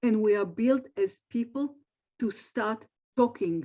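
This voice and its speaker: The woman's tone is dark and mellow, with ordinary pitch variation. She speaks at a fairly slow pace. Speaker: speech therapist and AAC center director. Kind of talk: webinar presentation. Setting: video call from her office. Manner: halting.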